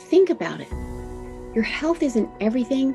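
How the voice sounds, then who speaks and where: The speaker is a woman. Background music can be heard. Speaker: podcast host. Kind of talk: podcast intro monologue.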